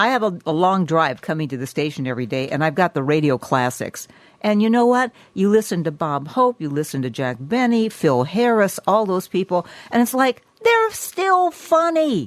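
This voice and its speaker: At a moderate pace, a woman speaks at medium pitch with very wide pitch swings. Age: 70s. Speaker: radio host. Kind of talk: interview.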